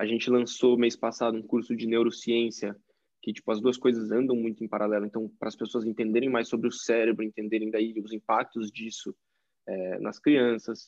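Monotone, flat intonation from a man at a medium pitch and a moderate pace. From interior of São Paulo state, Brazil (Tietê). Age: 20s. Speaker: engineering student and growth marketer. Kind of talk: casual interview chat.

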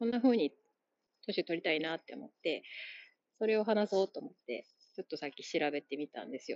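Very fast speech in a Kansai accent swings very widely in pitch, broken by long, frequent pauses. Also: woman, big swings in loudness. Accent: Kansai Japanese. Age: 30s. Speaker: podcast host. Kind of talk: solo monologue. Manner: casual, halting with fillers.

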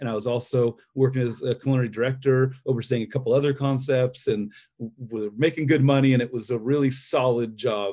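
A man with an American accent speaks at a medium pitch in a dark, mellow tone. His pace is fairly quick, with fairly even intonation. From central California, US. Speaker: restaurant owner. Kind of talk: interview.

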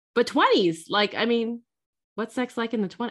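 A woman speaks at a moderate pace. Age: 40s. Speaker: podcast co-host. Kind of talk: casual chat.

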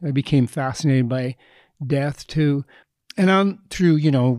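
A man's dark, mellow voice with a Canadian accent, dry and close with no echo, on a very clean recording with a silent background. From Canada, Edmonton. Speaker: playwright and director. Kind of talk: panel discussion. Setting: stage with audience.

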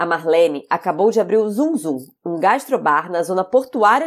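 On a very clean recording with a silent background, a woman talks at a moderate pace with very wide pitch swings. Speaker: podcast host and chef. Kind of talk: podcast intro; interview conversation.

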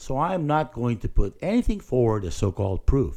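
A man's dark, mellow voice with vocal fry at a moderate pace, in a very clean recording with a silent background. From Philippines. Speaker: pastor and podcast host. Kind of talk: solo spoken reflection.

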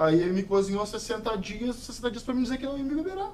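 Talking at a fairly quick pace, a man with a high pitch makes very wide pitch swings. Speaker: local politician. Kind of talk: interview. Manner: forceful.

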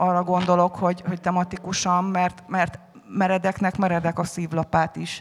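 A woman's flat, monotone voice at a moderate pace. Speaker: anthology editor. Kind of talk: panel discussion on stage. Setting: festival stage with audience.

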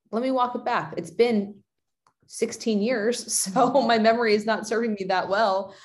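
Speaking fairly slowly, a woman uses a normal speaking voice with fairly high pitch and fairly even intonation. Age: 30s. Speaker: fitness and nutrition coach. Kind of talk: casual chat.

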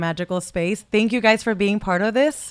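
A woman talks very fast with an animated tone. Her pitch is medium. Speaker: podcast host. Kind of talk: casual interview. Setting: stage with audience.

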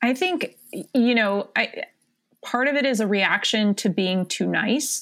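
An ordinary speaking voice, a woman with an American accent, fairly high in pitch, lively in intonation and fairly slow, in a very clean recording with a silent background. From South Florida, Cuban American family. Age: 20s. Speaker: attorney and political communications director. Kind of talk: casual chat.

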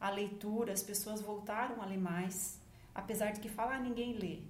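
A woman's voice with fairly even intonation, audible room echo, and noticeable background noise. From Paraná, Brazil. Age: 50s. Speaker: journalist and magazine founder. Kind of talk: podcast interview.

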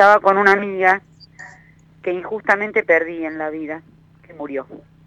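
A woman at medium pitch with ordinary pitch variation, amid noticeable background noise. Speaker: caller. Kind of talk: phone-in consultation. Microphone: delay on the line.

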